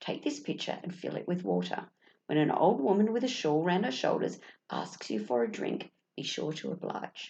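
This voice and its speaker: A raspy, put-on character voice at a middle pitch and a moderate pace. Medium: read story. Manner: loud, shrill.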